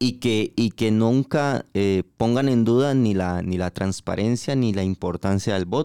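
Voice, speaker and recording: A man talks at a fairly slow pace with a Costa Rican accent and hardly any pauses. His tone is dark and mellow, and the sound is dry and close with no echo. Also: medium pitch for a man, ordinary pitch variation. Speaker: podcast host. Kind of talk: casual interview.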